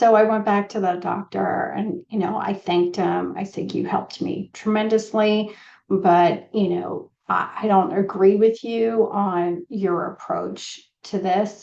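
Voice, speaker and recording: A woman speaks at a fairly slow pace with fairly even intonation. Her voice sits at a medium pitch and has a dark, mellow tone. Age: 50s. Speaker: nutrition consultant. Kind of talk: casual podcast monologue. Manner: conversational with many fillers.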